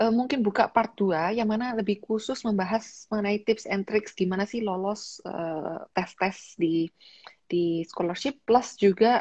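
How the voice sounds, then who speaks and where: Against a quiet background with a dry sound and no echo, a woman speaks at a fairly slow pace, somewhat breathy, with ordinary pitch variation. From Indonesia, Malang (East Java); East Java, Indonesia. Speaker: YouTuber and livestream host; YouTuber, livestream host. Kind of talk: livestream interview. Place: home room. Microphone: video call.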